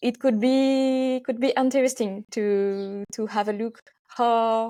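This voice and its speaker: A woman with a French accent speaks in a fairly high, dark and mellow voice with fairly even intonation, recorded very cleanly against a silent background. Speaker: physiotherapist. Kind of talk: interview. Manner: halting.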